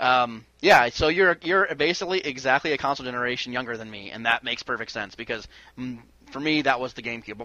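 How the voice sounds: Bright and sharp in tone, a man speaks fast at a medium pitch.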